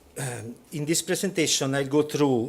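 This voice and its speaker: Speaking at a moderate pace, a man talks with an Italian accent. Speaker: regional government urban planner. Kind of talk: conference presentation read from script.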